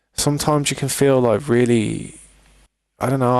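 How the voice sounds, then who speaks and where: With a strong British accent, a man speaks fairly quickly. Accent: thick British. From Britain. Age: 30s. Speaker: gaming streamer. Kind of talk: live stream chat.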